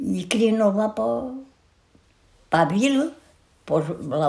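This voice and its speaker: Her medium-pitched voice is somewhat breathy, and this woman's pitch swings very widely. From Portugal, Santarém district. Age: 80s+. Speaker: centenarian interviewee. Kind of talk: life story interview.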